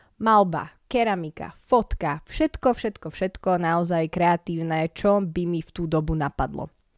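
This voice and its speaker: In a very clean recording with a silent background and a dry, close sound with no echo, a woman has an ordinary speaking voice with fairly low pitch. She talks at a fairly slow pace with hardly any pauses and big swings in loudness. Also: ordinary pitch variation. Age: 20s. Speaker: podcaster. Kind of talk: casual monologue. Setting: at home, in a room.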